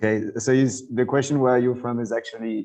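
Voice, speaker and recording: This man has a French accent and a medium pitch. His intonation stays fairly even. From western France. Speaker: cultural anthropologist. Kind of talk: interview. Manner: halting.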